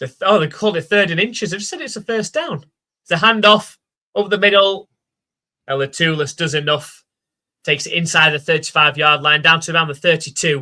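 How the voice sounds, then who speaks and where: A man with a Yorkshire accent talks at a fairly quick pace in a high, bright, sharp voice with ordinary pitch variation. His loudness swings widely. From South Yorkshire, England (Rotherham). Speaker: live stream commentator. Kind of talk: live commentary.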